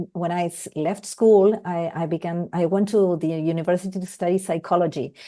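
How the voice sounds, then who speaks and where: Here a woman speaks with a Spanish accent. Her tone is dark and mellow, and her pace is moderate. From Argentina. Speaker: focusing-oriented therapist. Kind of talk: casual chat.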